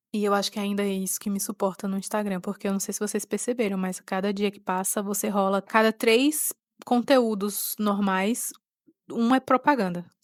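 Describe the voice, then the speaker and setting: With a Pernambuco accent, a woman of medium pitch speaks at a moderate pace with fairly even intonation in a very clean recording with a silent background. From Pernambuco, Brazil. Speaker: podcaster. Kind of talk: personal reflective monologue. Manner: halting.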